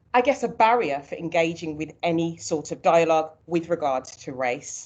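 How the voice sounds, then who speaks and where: A woman with a Birmingham accent, fairly low-pitched, at a moderate pace with lively intonation. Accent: Birmingham (Brummie). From Birmingham, England. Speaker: early years consultant, former nursery manager. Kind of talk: seminar presentation.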